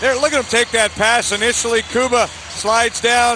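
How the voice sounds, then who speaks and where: Over noticeable background noise, a man uses a raised, projected voice at an extremely high pitch for a man. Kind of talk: live commentary, game analysis. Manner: animated, fast, excitable analyst banter.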